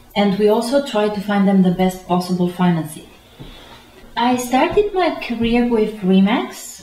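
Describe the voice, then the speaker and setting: A fairly high-pitched woman with lively intonation at a moderate pace, against noticeable background noise. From Romania. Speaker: real estate agent. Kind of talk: interview. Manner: halting.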